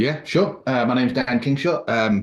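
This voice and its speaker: Against a quiet background, a man speaks with an English accent at a moderate pace. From England. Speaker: prospective club member, amateur radio operator. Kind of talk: self-introduction at a club meeting.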